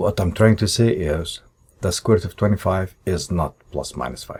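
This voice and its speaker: A man speaks at a moderate pace in a very deep, low voice. There is vocal fry, and his pitch varies in an ordinary way. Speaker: math teacher. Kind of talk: tutorial.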